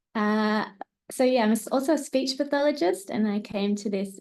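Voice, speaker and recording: A woman at a moderate pace with ordinary pitch variation, quiet background. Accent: Australian. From New South Wales, Australia (Tamworth). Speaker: researcher and speech pathologist. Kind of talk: academic seminar presentation.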